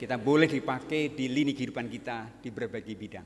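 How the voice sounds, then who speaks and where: A man talks at a fairly quick pace in a Banyumas accent. His pitch variation is ordinary. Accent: Banyumas Javanese. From Central Java, Banyumas region (Purbalingga). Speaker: guest pastor. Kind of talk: sermon. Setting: church.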